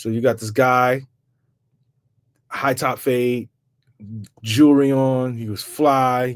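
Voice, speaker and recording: A man's medium-pitched voice in a New York accent, monotone and flat, very slow with long, frequent pauses and big swings in loudness, on a very clean recording with a silent background. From New York, Bronx. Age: 40s. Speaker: rapper. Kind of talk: podcast interview.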